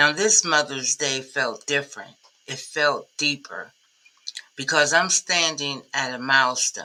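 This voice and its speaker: A woman with a very deep, low pitch speaks in a bright, sharp tone with ordinary pitch variation. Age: 60s. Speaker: commercial cleaning business consultant. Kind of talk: motivational message to camera.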